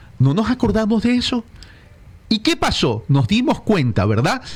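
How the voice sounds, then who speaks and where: A high male voice, animated in tone, with very wide pitch swings. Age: 60s. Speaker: political consultant. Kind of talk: radio interview.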